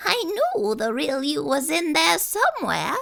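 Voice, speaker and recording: Using a put-on character voice, a woman talks at a high pitch. Her pace is fairly slow. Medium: read story. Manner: gentle, bright.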